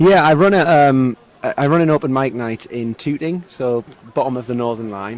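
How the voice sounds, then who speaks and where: A man speaks with a northeast English accent and ordinary pitch variation. Noticeable background noise can be heard. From northeast England, Sunderland. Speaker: singer-songwriter. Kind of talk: interview. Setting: live music venue. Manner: hesitant, many repetitions and fillers.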